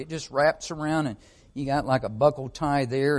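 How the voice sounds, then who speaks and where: A fairly high-pitched man with a Southern US accent at a fairly quick pace. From Arkansas. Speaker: missionary. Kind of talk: church talk. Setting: church.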